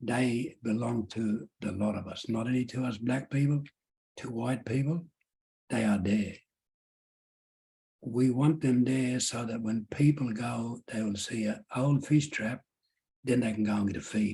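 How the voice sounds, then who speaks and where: A man's medium-pitched, dark, mellow, somewhat breathy voice at a fairly slow pace, with fairly even intonation and long, frequent pauses. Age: 70s. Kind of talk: Q&A at public lecture.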